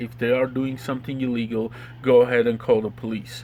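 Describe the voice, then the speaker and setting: Someone with a strong Slavic accent speaks at a moderate pace in a monotone, flat intonation. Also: man. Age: 30s. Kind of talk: interview answer.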